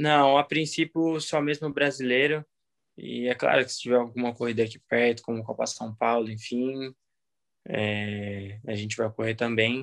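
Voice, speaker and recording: A man with an ordinary speaking voice talks at a fairly slow pace with ordinary pitch variation, recorded with a dry, close sound and no echo. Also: medium pitch for a man. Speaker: motocross racer. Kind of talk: interview.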